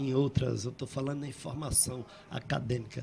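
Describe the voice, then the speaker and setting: Talking at a fairly slow pace, a man has a medium pitch. His voice is somewhat breathy, with a dark, mellow tone. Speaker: poet and painter. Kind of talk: interview storytelling. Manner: halting.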